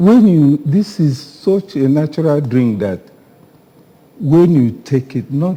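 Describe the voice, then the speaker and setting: Speaking at a very slow pace, a man with a Nigerian accent uses a fairly high pitch with very wide pitch swings. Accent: Nigerian Igbo English. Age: 80s+. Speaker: author, retired educator. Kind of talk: TV interview.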